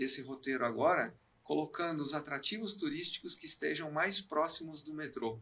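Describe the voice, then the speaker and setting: Speaking at a moderate pace, a man with a fairly high, bright, sharp voice uses lively intonation. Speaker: technology and education specialist. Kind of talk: live podcast conversation. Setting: live stream.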